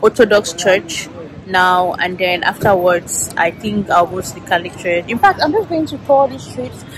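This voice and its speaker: A woman talks at a moderate pace in a dry recording with no echo, with noticeable background noise. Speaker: travel vlogger. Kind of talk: casual vlog chat. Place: street. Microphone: phone near.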